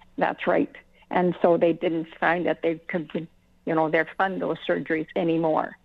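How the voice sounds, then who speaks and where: A woman's fairly low voice in a monotone, flat intonation. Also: moderate pace. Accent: Canadian. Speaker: cancer patient. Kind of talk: personal testimony on radio. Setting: phone call.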